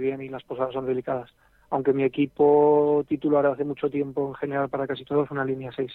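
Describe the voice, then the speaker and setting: The delivery is fairly quick and monotone, with flat intonation. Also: man. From Aragon, Spain (near Barbastro, Huesca). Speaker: fly fisherman. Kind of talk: casual interview.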